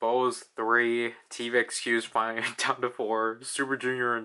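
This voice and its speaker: Speaking at a fairly slow pace, a man has a medium-pitched voice with a bright, sharp tone. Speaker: gaming video creator. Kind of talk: gameplay commentary. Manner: unenthusiastic.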